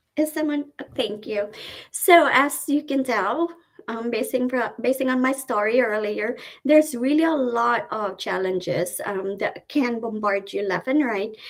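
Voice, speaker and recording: A woman with a strong Filipino accent, high pitch, lively intonation and a fairly slow pace. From Philippines, Cebuano-speaking region. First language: Cebuano. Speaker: nurse. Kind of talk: webinar presentation.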